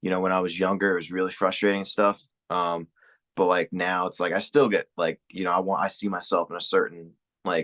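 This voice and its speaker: A man with a New York accent talks at a fairly quick pace in a very deep, low pitch and a monotone, flat intonation. The sound is dry and close with no echo, over a quiet background. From New York, Queens. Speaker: comedian. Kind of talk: casual chat.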